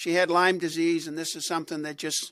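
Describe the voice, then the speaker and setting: A man with a Boston accent on a very clean recording with a silent background. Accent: Boston area. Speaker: radio host. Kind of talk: casual chat. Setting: studio.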